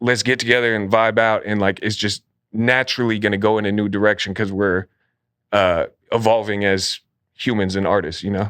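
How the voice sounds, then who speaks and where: A man with an American accent speaks at a fairly low pitch and a fairly quick pace. His intonation stays fairly even, and the recording is very clean with a silent background. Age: 30s. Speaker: rapper. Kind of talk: casual interview.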